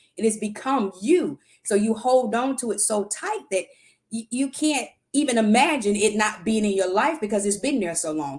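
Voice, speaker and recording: A woman talks with an animated tone and lively intonation at a fairly high pitch. Her voice is somewhat breathy, and her pace is moderate. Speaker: livestream talk show host. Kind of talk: motivational talk.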